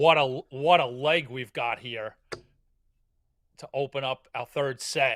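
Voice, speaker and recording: A man at medium pitch and a fairly slow pace, fairly even in intonation, with big swings in loudness, long, frequent pauses, and a dry, close sound with no echo. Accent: New York. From Queens, New York. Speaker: darts commentator. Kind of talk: live commentary.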